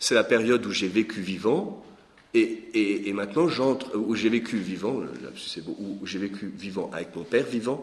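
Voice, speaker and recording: A man speaks in a fairly low voice. He keeps a moderate pace. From Lorraine, France. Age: 40s. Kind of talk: teaching talk. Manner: hesitant with repetitions.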